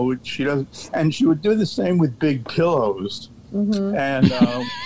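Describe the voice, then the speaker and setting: A man's fairly high voice with very wide pitch swings, over noticeable background noise. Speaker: radio call-in caller.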